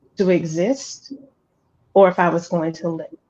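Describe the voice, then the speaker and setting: A woman with an American accent speaks at a medium pitch. Her intonation stays fairly even. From US South, Alabama. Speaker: guest entrepreneur sharing life story. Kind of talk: interview testimony.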